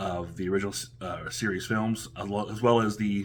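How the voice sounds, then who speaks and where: A man's fairly even intonation comes through with noticeable background noise. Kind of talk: casual talk to camera, product unboxing review. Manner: hesitant, many filler words.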